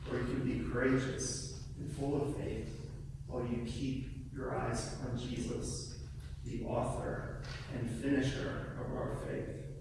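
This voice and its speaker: A man's very slow speech with fairly even intonation, strong room echo and noticeable background noise. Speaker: guest preacher. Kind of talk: sermon delivered to a congregation. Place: church.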